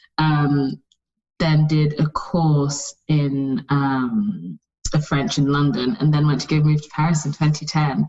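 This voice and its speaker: Speaking very slowly with an American accent, a woman uses a very deep, low pitch with ordinary variation and big swings in loudness. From UK, with childhood in Saudi Arabia, Nigeria and US. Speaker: fashion brand founder. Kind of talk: interview. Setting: remote call.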